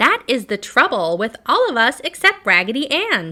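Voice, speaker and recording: A put-on character voice, squeaky, with very wide pitch swings. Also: female-sounding voice, high pitch for a woman, moderate pace. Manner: lamenting, matter-of-fact.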